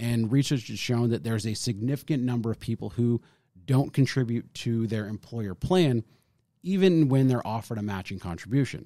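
A man talks at a medium pitch with a dark, mellow tone. The recording is very clean, with a silent background. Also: ordinary pitch variation, fairly quick pace. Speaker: financial advisor podcast host. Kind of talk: casual educational chat about retirement law.

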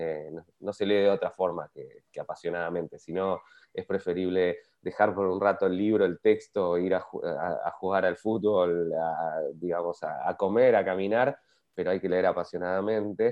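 This man's voice is very deep and low. He speaks at a moderate pace with fairly even intonation. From Argentina, Patagonia (Bariloche). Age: 40s. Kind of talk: interview.

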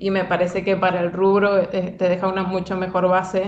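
With a Cuyo Argentine accent, a woman at medium pitch speaks at a moderate pace over noticeable background noise. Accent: Argentine Spanish (Cuyo, Mendoza). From Argentina, Mendoza. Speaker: animator. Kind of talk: casual interview.

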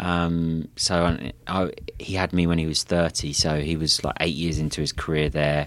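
In a very clean recording with a silent background, a man speaks at a very deep, low pitch in a flat monotone. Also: moderate pace. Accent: southern English. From southeast England (Kent). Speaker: tech company co-founder and CEO. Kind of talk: interview conversation. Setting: company office.

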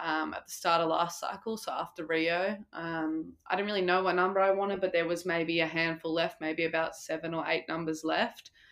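In an Australian accent, a woman talks fairly quickly in a fairly low voice with monotone, flat intonation. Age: 20s. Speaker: professional water polo player. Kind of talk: interview.

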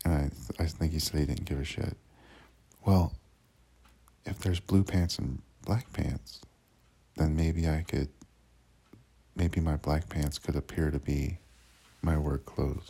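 A man with a very deep, low voice and a dark, mellow tone talks at a fairly slow pace with vocal fry, fairly even intonation, and long, frequent pauses. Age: 40s. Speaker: seasonal park worker vlogging. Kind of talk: personal audio diary. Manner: casual, with fillers and repetitions.

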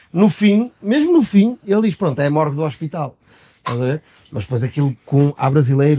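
A man's fairly high, somewhat breathy voice with lively intonation at a moderate pace. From Portugal. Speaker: podcast co-host. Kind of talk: casual chat.

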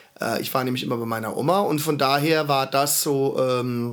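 A man with a fairly high pitch and an unremarkable speaking voice talks at a moderate pace. His pitch varies in an ordinary way. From Heidelberg, Baden-Württemberg. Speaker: podcast host. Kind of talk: casual chat.

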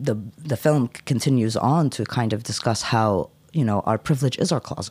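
A man speaks in an ordinary speaking voice at a medium pitch. His pitch variation is ordinary and his pace moderate. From United States. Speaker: poet and cultural activist. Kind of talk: poetry reading; casual chat. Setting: studio.

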